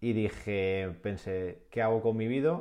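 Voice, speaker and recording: At a fairly slow pace and fairly low pitch, a man talks in a plain, everyday voice. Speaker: adventurer and dream-project entrepreneur. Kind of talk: interview.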